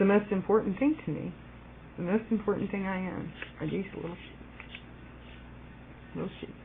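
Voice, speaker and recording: A woman with an American accent speaks at a moderate pace and medium pitch, with ordinary pitch variation. Her loudness swings widely, she takes long, frequent pauses, and background noise is noticeable. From US, Virginia (Alexandria). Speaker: video blogger. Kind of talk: personal video message. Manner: casual, halting with fillers.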